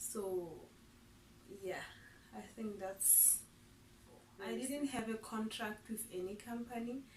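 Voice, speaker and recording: A woman speaks in a somewhat breathy voice at a medium pitch. Her pace is fairly slow. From Lesotho. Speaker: vlogger, English teacher. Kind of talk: casual vlog self-introduction.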